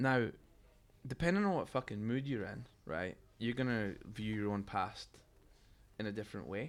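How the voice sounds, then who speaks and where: With a Scottish accent, a man speaks at a moderate pace in a fairly low voice. He leaves long, frequent pauses. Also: ordinary pitch variation. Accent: Scottish brogue. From Scotland, Fife. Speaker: musician. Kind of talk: casual chat. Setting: stage with audience.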